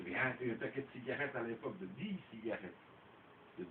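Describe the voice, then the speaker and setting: At a fairly quick pace, a man talks at a medium pitch with lively intonation. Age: 60s. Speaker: storyteller uncle. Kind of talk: casual chat.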